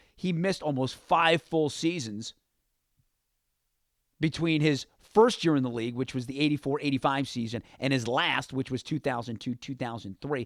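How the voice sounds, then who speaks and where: An American-accented man speaks in an unremarkable voice at a fairly high pitch and moderate pace. The sound is dry and close, with no echo. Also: ordinary pitch variation. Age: 30s. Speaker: sports radio host. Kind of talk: sports talk radio show. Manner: conversational, opinionated.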